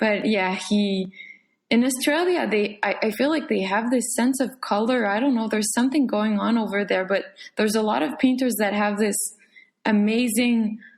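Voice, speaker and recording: With fairly high pitch and a somewhat breathy quality, a woman speaks at very even loudness and ordinary pitch variation. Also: moderate pace. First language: French. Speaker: painter. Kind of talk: casual chat. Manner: halting.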